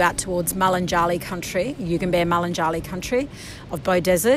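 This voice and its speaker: With noticeable background noise behind her, a woman talks very fast in an Australian accent at a medium pitch. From northern New South Wales, Australia. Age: 40s. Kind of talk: interview storytelling. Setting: outdoors by the coast.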